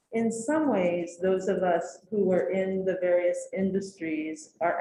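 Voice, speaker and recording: This woman has a dark, mellow tone and a medium pitch. She sounds somewhat breathy and speaks at a fairly slow pace. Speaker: educator on a task force. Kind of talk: committee meeting discussion.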